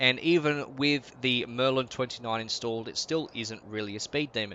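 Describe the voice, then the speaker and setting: With an Australian accent, a man talks at medium pitch and a moderate pace. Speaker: gaming YouTuber. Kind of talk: game commentary. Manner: casual.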